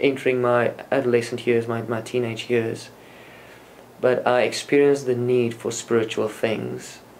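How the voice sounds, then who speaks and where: Delivery is monotone and flat at a moderate pace. There is light background noise. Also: man, medium pitch for a man. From South Africa, Afrikaans-speaking area. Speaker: former Jehovah's Witness, religious speaker. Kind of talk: interview. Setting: conference venue. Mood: calm, reflective. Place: office.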